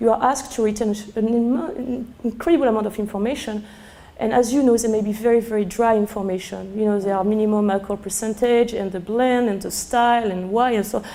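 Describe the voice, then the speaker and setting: A woman's fairly high voice at a very fast pace, with audible room echo and noticeable background noise. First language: French. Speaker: sommelier. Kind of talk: lecture. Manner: halting; animated.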